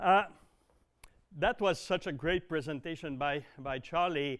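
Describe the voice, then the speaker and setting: A man talks fairly slowly in a fairly high pitch, his pitch varying in an ordinary way. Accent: Quebec. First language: French. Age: 60s. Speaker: dairy consultant. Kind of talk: presentation. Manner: halting, many fillers.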